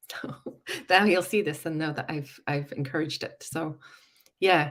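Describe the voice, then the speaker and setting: A woman's very deep, low pitch at a moderate pace, with ordinary pitch variation. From Northern Ireland, Belfast. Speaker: psychologist. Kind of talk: livestream chat.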